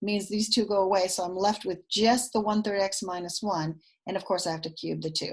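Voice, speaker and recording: Somewhat breathy delivery at a fairly quick pace. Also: woman. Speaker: math teacher. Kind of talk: recorded lesson. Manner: fast.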